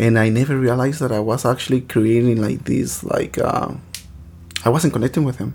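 A man with a Spanish accent speaks at a moderate pace and medium pitch, keeping his intonation fairly even. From Mexico, Michoacán. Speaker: podcast host, teacher. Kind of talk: casual chat. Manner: halting.

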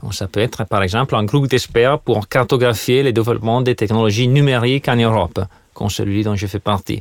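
A man's medium-pitched voice with an Italian accent, a fairly quick pace and fairly even intonation, in a dry, close sound with no echo. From Italy. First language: Italian (speaking French). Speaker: economist and university lecturer. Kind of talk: interview. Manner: hesitant, many fillers and repetitions.

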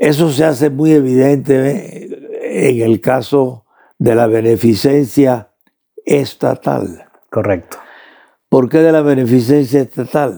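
Delivered at a very slow pace, this dark, mellow voice keeps a very even loudness and ordinary pitch variation. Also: man, medium pitch for a man. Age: 90s. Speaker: theologian and philosopher. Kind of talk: interview.

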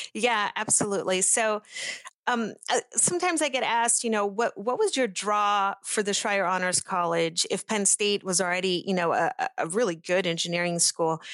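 Speaking with a Pittsburgh accent, a woman keeps her loudness very even and her pitch variation ordinary. The background is quiet. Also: medium pitch for a woman, moderate pace, dry, close sound with no echo. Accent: American (Pittsburgh area). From Brazil, moved to Pittsburgh area at 10. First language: Portuguese. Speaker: chemical engineer and industry manager. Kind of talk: interview. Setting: video call.

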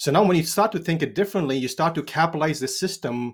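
A man with an Indian accent speaks at a fairly high pitch with lively intonation. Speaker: financial advisor. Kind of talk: interview.

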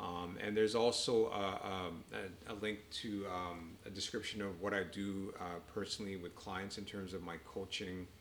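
Heard with audible room echo, a man with a Canadian accent speaks at a fairly low pitch and a moderate pace in monotone, flat intonation. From Canada, east of Toronto. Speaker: doctor and author. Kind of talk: casual chat. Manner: halting.

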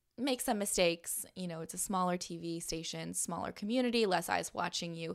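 A woman with a Californian accent speaks at a fairly quick pace. Her voice sits fairly low in pitch. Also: very clean recording, silent background. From Southern California. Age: 20s. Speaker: podcast host and broadcaster. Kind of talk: interview conversation. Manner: lively.

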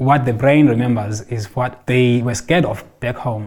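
At a fairly slow pace, a man speaks in a medium-pitched, somewhat breathy voice. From South Africa, Xhosa. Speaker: counsellor for refugee children and families. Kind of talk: interview.

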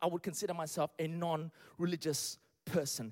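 An animated man's voice comes through with a dry, close sound and no echo. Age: 40s. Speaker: pastor. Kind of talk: sermon.

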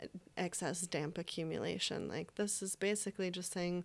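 A woman with an American accent, a fairly low pitch and a monotone, flat intonation at a moderate pace, on a very clean recording with a silent background. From upstate New York. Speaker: Chinese medicine student. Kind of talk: casual panel discussion.

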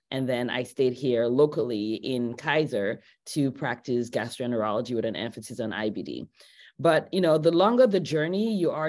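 A woman with a very deep, low pitch and lively intonation speaks at a moderate pace on a very clean recording with a silent background. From Nigeria. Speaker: physician. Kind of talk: interview.

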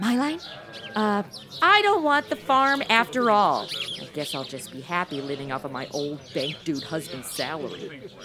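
Over noticeable background noise, a woman speaks at a moderate pace in an animated tone with very wide pitch swings. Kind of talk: comedic radio-drama parody, modern snark over old Western. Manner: sarcastic, animated, quippy.

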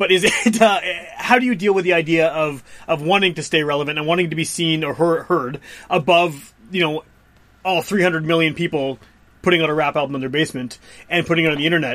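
With a Canadian accent and a high pitch, this man speaks at a fairly quick pace using ordinary pitch variation. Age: 30s. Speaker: podcast host. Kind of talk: interview.

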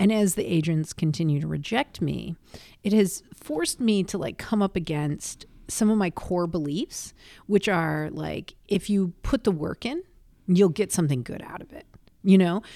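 The recording is very clean, with a silent background, capturing a woman in an ordinary speaking voice at a fairly low pitch. Her intonation is lively, with big swings in loudness. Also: moderate pace. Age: middle-aged. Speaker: comedian. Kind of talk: casual chat.

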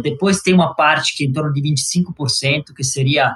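A man with an Italian accent speaks in a bright, sharp tone with ordinary pitch variation. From Italy, Sicily. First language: Italian (speaking Portuguese). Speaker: energy investment executive. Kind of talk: interview.

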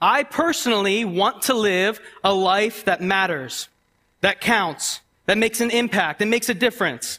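Projecting a raised voice at a high pitch, a man speaks slowly-ish at a fairly slow pace with lively intonation and a bright, sharp tone. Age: 20s. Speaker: guest preacher. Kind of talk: sermon.

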